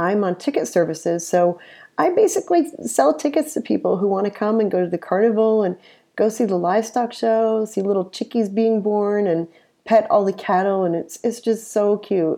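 A dark, mellow tone with an American accent against a quiet background. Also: woman, medium pitch for a woman, lively intonation, moderate pace. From upstate New York. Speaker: conference director. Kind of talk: interview. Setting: home office.

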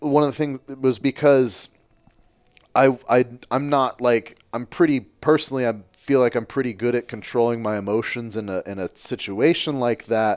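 In a plain, everyday voice, a man talks at a moderate pace and medium pitch with ordinary pitch variation, the sound dry and close with no echo. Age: 30s. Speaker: podcast host, powerlifter. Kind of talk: casual interview chat. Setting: in person, sitting down together.

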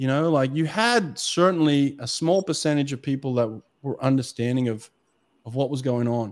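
An Australian-accented man speaks at a moderate pace with a fairly high pitch and ordinary pitch variation, recorded very cleanly against a silent background. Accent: Australian, kept despite years in US. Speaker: swimming coach, former Olympic sprinter and podcast host. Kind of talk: casual interview chat.

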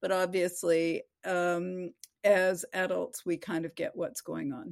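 With a Canadian accent and a medium pitch, a woman speaks in an unremarkable speaking voice on a very clean recording with a silent background and a dry, close sound with no echo. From Vancouver, western Canada. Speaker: novelist. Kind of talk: interview.

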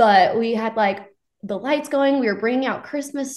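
A woman with an American accent speaks at a moderate pace. She has a plain, everyday voice with ordinary pitch variation. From Texas, Frisco. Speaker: country singer. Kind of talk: casual interview.

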